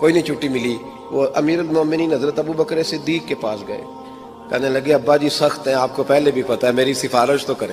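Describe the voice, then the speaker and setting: A man speaks with typical rises and falls in pitch while music plays behind him. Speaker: Islamic preacher. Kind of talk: religious sermon, emotional storytelling. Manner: emotional, passionate, sermonizing.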